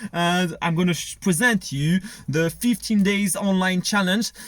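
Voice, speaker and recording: A man speaks in a high voice with a French accent. His pace is fairly slow. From France. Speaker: online business coach. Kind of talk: tutorial. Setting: screen recording. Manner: halting.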